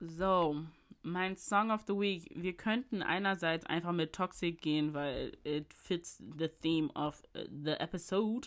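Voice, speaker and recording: A woman speaks at a very slow pace. Her pitch sits fairly low, with ordinary variation. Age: 20s. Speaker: podcast host. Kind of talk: casual solo monologue. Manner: animated.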